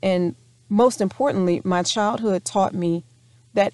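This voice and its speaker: A woman with an American accent, medium pitch, ordinary pitch variation and a moderate pace. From US South, North Louisiana. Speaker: podcast host, entrepreneur. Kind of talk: solo podcast monologue.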